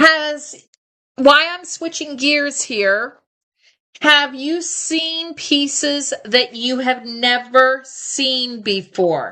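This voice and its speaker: A woman's high-pitched, raised and projected voice, bright and sharp, at a very slow pace, with ordinary pitch variation and big swings in loudness. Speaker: live shopping host. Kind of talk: live shopping presentation. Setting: livestream. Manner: animated. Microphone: echo in the sound.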